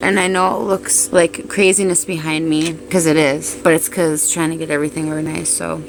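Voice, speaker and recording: A woman with a very deep, low pitch speaks at a fairly quick pace with hardly any pauses against noticeable background noise. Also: lively intonation. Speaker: YouTuber. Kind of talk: casual vlog. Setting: at home, small cluttered space.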